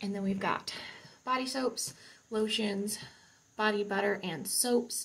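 A woman speaks with vocal fry. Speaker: home vlogger. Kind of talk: casual vlog chat. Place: bathroom. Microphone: phone near.

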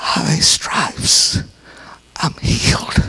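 Someone whispers. It is a put-on character voice. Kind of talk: sermon.

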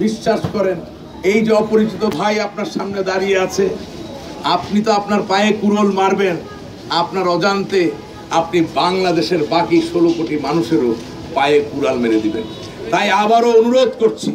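Faint music plays in the background as a man speaks at a high pitch with lively intonation. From Bangladesh. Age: young. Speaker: political party activist; speaker. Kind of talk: campaign speech. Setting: outdoor street rally on a truck. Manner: oratorical, rhetorical. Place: street.

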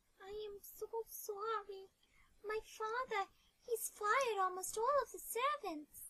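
At a fairly slow pace, a female-sounding put-on character voice reaches an extremely high pitch. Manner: upset, accusing.

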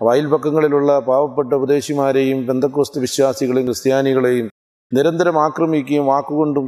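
A man speaks with a fairly high pitch and fairly even intonation. The background is quiet. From Kerala, Kollam district (Punalur); Kerala. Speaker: evangelist. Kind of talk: testimony. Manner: formal. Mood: earnest, reflective. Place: garden. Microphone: lapel.

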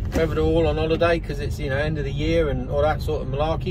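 A man at a very fast pace, dry with no echo, over noticeable background noise. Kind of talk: casual vlog chat. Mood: mildly frustrated. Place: car.

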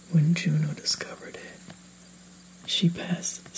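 A man is whispering. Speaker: reader. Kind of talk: storytelling read-aloud.

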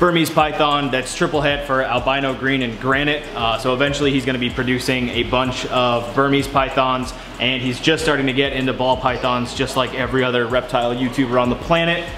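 A man at a fairly quick pace with fairly even intonation, over noticeable background noise. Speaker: reptile keeper vlogger. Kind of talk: casual vlog chat. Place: garage. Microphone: phone near.

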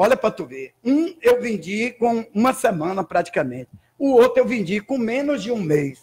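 Pitched high, a man speaks at a moderate pace. His pitch swings very widely. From Bahia, Brazil. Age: 60s. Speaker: judo instructor. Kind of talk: interview. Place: studio. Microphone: studio mic.

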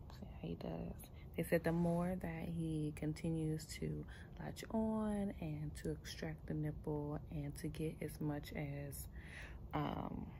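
Noticeable background noise accompanies a woman speaking at a very slow pace. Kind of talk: casual vlog chat. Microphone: phone near.

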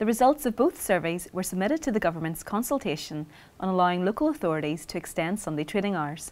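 Very wide pitch swings mark speech delivered at a fairly quick pace. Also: woman. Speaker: news presenter. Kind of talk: scripted weekly news bulletin reading. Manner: measured, even-paced and formal; neutral, crisp broadcast delivery. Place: studio.

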